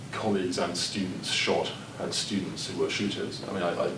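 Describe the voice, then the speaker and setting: Moderate-paced speech with audible room echo and noticeable background noise. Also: man. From Northern Ireland (Belfast). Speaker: professor. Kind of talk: lecture. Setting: seminar with audience.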